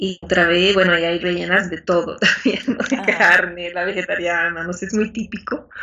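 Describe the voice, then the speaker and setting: At a moderate pace, a woman talks in an unremarkable speaking voice with a medium pitch. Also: fairly even intonation, hardly any pauses. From Bolivia. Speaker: Spanish teacher. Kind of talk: interview.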